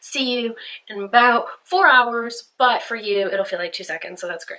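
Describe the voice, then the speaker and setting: Speaking at a moderate pace, a woman uses a fairly high pitch, lively intonation, and big swings in loudness. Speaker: beauty vlogger. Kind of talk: makeup tutorial. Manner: casual, chatty; quiet during detailed work.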